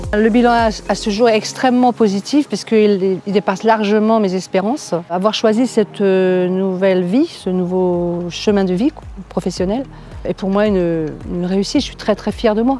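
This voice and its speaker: Medium-pitched female voice amid noticeable background noise. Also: ordinary pitch variation, moderate pace. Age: 60s. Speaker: real estate agent. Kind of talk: testimony. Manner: hesitant, many fillers.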